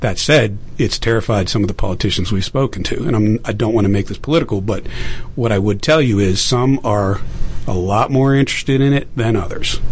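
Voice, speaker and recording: A man's fairly low voice with an American accent, against noticeable background noise. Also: ordinary pitch variation, fairly quick pace. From Pittsburgh, Pennsylvania. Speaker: veteran and election technology entrepreneur. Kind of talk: radio interview.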